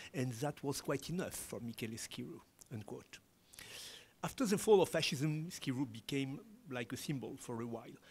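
A man speaks with a French accent and lively intonation. His pitch is fairly high, and his voice is somewhat breathy. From France. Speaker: independent historian; conference presenter. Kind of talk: academic conference presentation. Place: hall. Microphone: podium.

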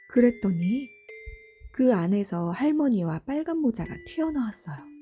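Music plays in the background as a woman talks at a moderate pace. Her fairly high pitch swings very widely. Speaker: mother and storybook narrator. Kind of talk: gentle storytelling narration. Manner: whispered, soft-spoken.

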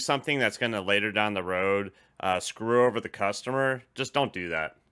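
A man's medium-pitched voice with lively intonation over a quiet background. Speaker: union delivery driver channel host. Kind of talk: casual interview. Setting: video call. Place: home room. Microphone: studio mic.

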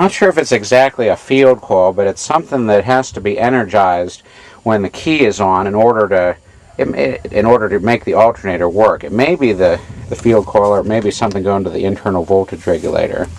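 With a fairly low pitch and ordinary variation, a man speaks at a fairly quick pace in a dry sound with no echo. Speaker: tractor owner doing repairs. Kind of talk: tutorial. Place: farm machine. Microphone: phone near.

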